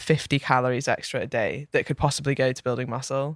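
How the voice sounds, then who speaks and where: A woman speaks with a Scottish accent in a dry, close sound with no echo. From Scotland. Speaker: fitness coach. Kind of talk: casual chat.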